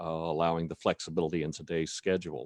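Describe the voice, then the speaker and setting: Over a quiet background, a man with a North Carolina accent speaks at a fairly quick pace in a very deep, low pitch, the sound dry and close with no echo. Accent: US Southern (North Carolina). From North Carolina, Cumberland County. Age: 60s. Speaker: state legislator. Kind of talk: speech at online advocacy event. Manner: halting, many fillers.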